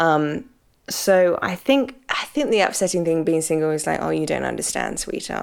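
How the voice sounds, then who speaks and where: With a British accent, a woman speaks at a fairly quick pace in a very deep, low pitch, her intonation lively. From Britain. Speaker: podcast host and pastor. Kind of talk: solo Q and A podcast talk. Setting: home apartment.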